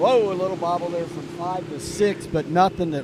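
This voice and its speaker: A man with a high voice talks while noticeable background noise carries on around him. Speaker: sports commentator. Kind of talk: live commentary. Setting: live webcast at lakeside event.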